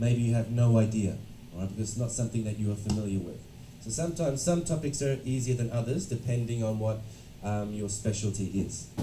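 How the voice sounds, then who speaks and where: Audible room echo surrounds a man with an Australian accent who talks at a fairly quick pace and medium pitch with ordinary pitch variation. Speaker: education consultant and lecturer. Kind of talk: lecture. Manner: interactive, engaging with audience.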